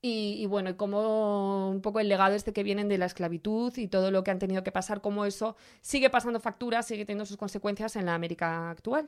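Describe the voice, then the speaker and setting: Speaking with a Spanish accent, a woman goes very fast with hardly any pauses. Her intonation stays fairly even. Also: medium pitch for a woman, very clean recording, silent background. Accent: Peninsular Spanish. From Spain, small town. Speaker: fashion podcast host. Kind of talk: casual chat.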